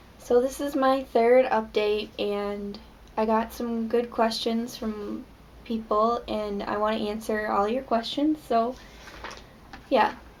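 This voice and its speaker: A woman's fairly high pitch at a very slow pace, with fairly even intonation and noticeable background noise. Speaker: mother. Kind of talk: casual talk to camera. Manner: monotone; hesitant.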